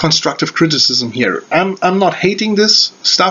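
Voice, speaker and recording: Noticeable background noise sits behind a man with a German accent. He talks at a fairly slow pace. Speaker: wrestling reviewer. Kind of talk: video review. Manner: halting, many fillers.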